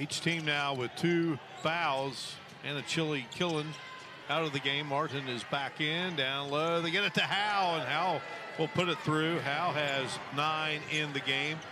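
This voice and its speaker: A man speaks at a fairly slow pace with a fairly high pitch. His intonation is fairly even over noticeable background noise. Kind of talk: live sports play-by-play commentary.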